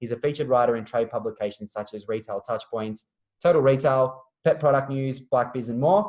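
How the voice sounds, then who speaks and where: Speaking at a very fast pace, a man with an Australian accent talks at medium pitch. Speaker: webinar host, marketing manager. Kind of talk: webinar introduction and interview. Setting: online webinar call.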